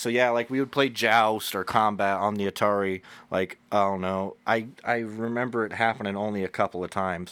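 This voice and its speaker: On a very clean recording with a silent background, a man with a fairly low voice talks at a fairly quick pace with fairly even intonation and hardly any pauses. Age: 30s. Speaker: solo podcaster. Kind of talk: casual monologue. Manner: halting.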